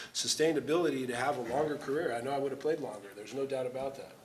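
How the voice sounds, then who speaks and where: With an American accent, a male speaker comes through against clearly audible background noise. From Southern California. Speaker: former pro football player. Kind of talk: panel discussion. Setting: stage with audience.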